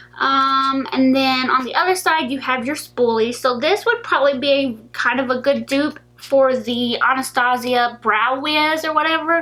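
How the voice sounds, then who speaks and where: A woman's raised, projected voice, high in pitch with ordinary pitch variation, at a moderate pace with hardly any pauses. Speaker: beauty vlogger. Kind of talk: product haul video. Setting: in her room. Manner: casual, filler-heavy.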